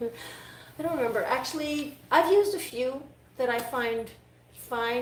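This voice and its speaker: This woman has a Quebec accent and a high pitch with ordinary pitch variation. Noticeable background noise and audible room echo fill the recording. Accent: Canadian French. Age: 30s. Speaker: dog groomer. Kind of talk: live-stream grooming tutorial. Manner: casual, halting.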